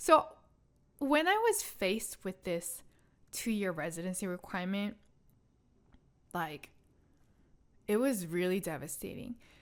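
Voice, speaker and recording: Talking fairly slowly with long, frequent pauses, a woman with a Korean accent uses a medium pitch, lively intonation, and an animated tone. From South Korea. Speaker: podcast host, scientist. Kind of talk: casual personal storytelling monologue. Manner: animated, conversational.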